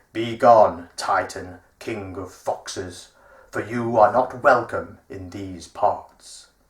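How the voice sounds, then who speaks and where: Putting on a booming character voice, a man talks at a very slow pace with a fairly low pitch. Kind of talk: archaic, formal. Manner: commanding, authoritative.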